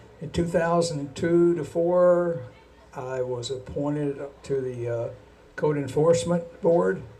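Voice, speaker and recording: A man at a very slow pace with ordinary pitch variation, in audible room echo. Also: fairly high pitch for a man. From Kentucky. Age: 70s. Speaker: city council candidate, retired accountant. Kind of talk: campaign speech at candidates forum. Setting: bar venue with live audience. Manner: halting. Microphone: too far from the mic, hard to hear.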